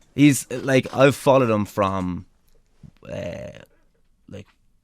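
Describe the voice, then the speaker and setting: A man with an Irish accent at a medium pitch, very slow pace, ordinary pitch variation, and long, frequent pauses. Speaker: pro wrestler. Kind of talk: interview storytelling. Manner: animated; talkative.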